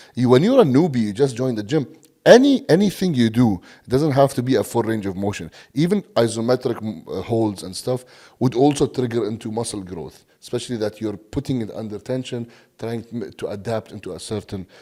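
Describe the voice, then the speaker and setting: A man's dark, mellow tone at medium pitch with an Arabic accent, ordinary pitch variation, a fairly quick pace and big swings in loudness, on a very clean recording with a silent background. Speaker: bodybuilding coach. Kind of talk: podcast interview. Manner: halting, many fillers and repeats.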